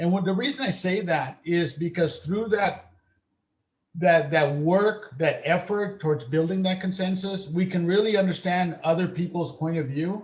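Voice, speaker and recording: At a moderate pace, a man with a West Coast US accent speaks in a high pitch with ordinary pitch variation. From California (Salinas), born in Uganda. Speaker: school board member. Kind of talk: board meeting testimony. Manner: halting, many fillers.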